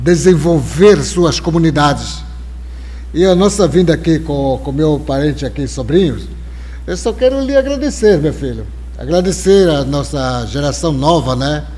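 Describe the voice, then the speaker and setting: Delivered at a fairly slow pace, the speech has noticeable background noise and audible room echo. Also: man. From Brazil, Alto Rio Negro, Amazonas. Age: 70s. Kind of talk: live interview conversation. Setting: live stream with audience.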